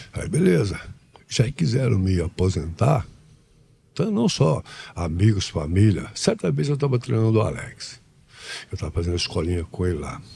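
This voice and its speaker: With a dark, mellow tone and a somewhat breathy quality, the voice swings very widely in pitch at a moderate pace, broken by long, frequent pauses. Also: man, very deep, low pitch for a man. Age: 70s. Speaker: martial arts master. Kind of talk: podcast interview.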